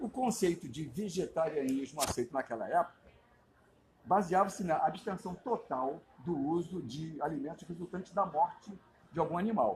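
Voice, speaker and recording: Lively in intonation and high in pitch, a man speaks at a moderate pace. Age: 70s. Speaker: vegan activist, social media creator. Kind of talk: interview testimony and explanation.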